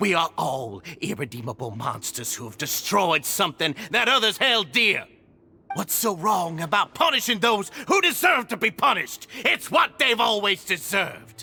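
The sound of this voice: Over faint music in the background, a man puts on a character voice at a high pitch and moderate pace, his tone bright and sharp with a slightly husky edge, vocal fry and big pitch swings.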